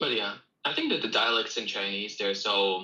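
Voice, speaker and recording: Man talking at a fairly quick pace over music in the background. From Russia. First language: Russian. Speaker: English teacher. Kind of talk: self-promotion; casual livestream chat.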